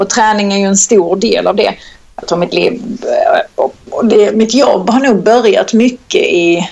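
This woman talks at a fairly slow pace. Her pitch varies in an ordinary way. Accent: strong Scanian. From southern Sweden (Skåne, Kristianstad). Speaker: personal trainer. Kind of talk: casual interview chat. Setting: Skype call.

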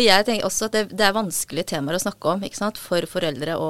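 This woman talks at a fairly quick pace. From Norway, adopted from South Korea as a child. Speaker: author and psychiatric nurse. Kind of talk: interview conversation. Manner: halting.

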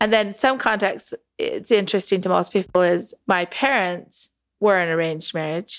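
A woman with an American accent speaks at a moderate pace and medium pitch in an unremarkable speaking voice, with ordinary pitch variation. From Utah, Salt Lake area. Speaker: cult survivor, documentary subject. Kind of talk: interview testimony.

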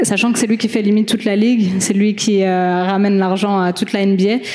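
A woman talks at a moderate pace and a medium pitch. Her intonation is monotone and flat. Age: 20s. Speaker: football freestyler. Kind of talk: panel discussion.

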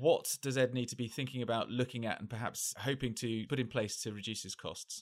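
A man's ordinary speaking voice at a medium pitch, fairly quick pace, fairly even intonation and hardly any pauses. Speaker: journalist and podcast host. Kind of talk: interview hosting.

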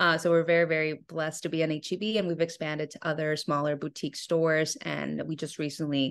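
A woman with a Spanish accent talks at a fairly quick pace with fairly even intonation. Her pitch is very deep and low, and the background is quiet. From Mexico (Monterrey, Nuevo León). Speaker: food company founder. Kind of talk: interview. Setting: podcast.

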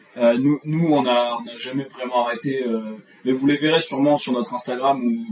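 There is noticeable background noise as a man talks at medium pitch and a moderate pace. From France, Charente. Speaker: company co-founder, podcast co-host. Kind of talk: casual chat. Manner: halting, many repetitions.

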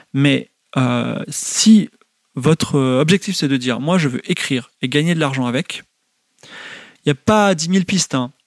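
The recording of a man with fairly high pitch sounds dry and close, with no echo. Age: 40s. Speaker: video game writer and teacher. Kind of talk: lecture. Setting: home, livestream. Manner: hesitant, many fillers.

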